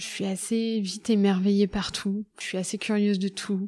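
Her voice has a dark, mellow tone, at medium pitch for a woman, with monotone, flat intonation. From central France, Loir-et-Cher. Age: 30s. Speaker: nurse. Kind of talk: casual chat.

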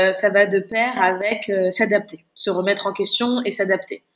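Her pitch is medium and her intonation fairly even. This woman talks at a very slow pace. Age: 20s. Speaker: chef and business founder. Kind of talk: interview. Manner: halting.

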